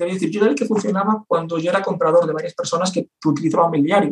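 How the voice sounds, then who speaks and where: A man speaks very fast in a high voice. His pitch varies in an ordinary way. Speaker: copywriter and entrepreneur. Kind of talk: interview.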